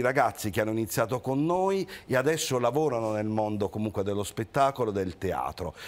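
Here is a man with a normal speaking voice, medium pitch and lively intonation. The recording is very clean, with a silent background. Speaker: theatre association president. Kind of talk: casual chat. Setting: studio.

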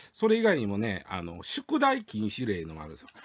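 The background is quiet as a man speaks with a Kansai accent. His fairly low voice moves in very wide pitch swings. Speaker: news commentator. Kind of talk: casual radio news discussion. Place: studio.

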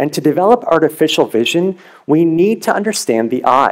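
The man talks at a moderate pace, and the background stays quiet. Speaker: presenter. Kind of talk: competition research talk. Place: stage. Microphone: headset.

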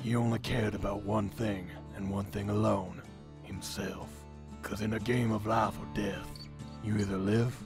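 A man puts on a gravelly character voice in a fairly low pitch, speaking at a moderate pace over clear background music. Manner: dramatic, gritty.

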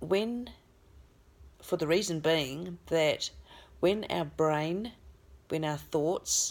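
A woman with an Australian accent speaks very slowly in a calm, soothing tone, her fairly low voice moving with ordinary pitch variation. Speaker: spiritual healer and channeller. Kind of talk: guided meditation. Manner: slow, calm, soothing; gentle, instructive. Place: home room. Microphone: phone near.

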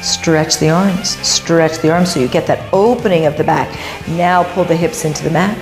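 A woman speaks at a fairly low pitch. Music plays clearly in the background. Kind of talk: exercise coaching cues. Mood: encouraging, rhythmic cueing. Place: studio.

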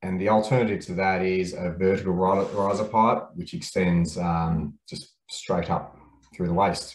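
Audible room echo hangs on this recording. The man's pitch is fairly low. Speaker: presenter. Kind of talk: webinar presentation. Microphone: webcam.

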